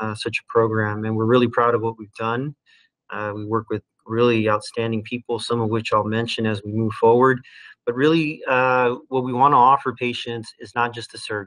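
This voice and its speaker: Talking at a fairly quick pace over a quiet background, a man keeps a monotone, flat intonation. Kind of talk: lecture. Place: home room. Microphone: webcam.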